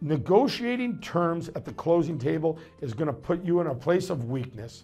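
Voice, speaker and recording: A man speaks at a fairly quick pace with a high pitch. Faint music plays in the background. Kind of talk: promotional advice talk. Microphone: lapel.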